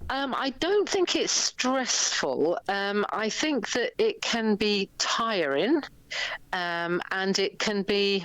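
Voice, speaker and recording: A woman's very slow speech in an English accent, with very wide pitch swings. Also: medium pitch for a woman. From England. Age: 60s. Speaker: events organiser. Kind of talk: interview.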